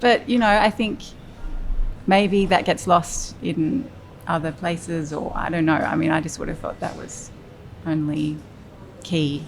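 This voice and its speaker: Her fairly low-pitched voice shows ordinary pitch variation. The woman speaks at a fairly slow pace with long, frequent pauses. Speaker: creative director and design studio founder. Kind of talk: interview answer. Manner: soft-spoken.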